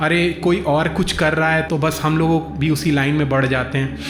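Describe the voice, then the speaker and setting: Over music in the background and audible room echo, a man talks at a moderate pace. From India. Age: 30s. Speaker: motivational speaker. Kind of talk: motivational talk. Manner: halting, many fillers.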